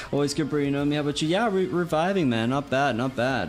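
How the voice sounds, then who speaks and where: Faint music plays in the background as a man speaks at a fairly high pitch with ordinary pitch variation. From South Africa. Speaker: gaming streamer. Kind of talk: casual live-stream chat. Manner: animated; halting. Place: home room.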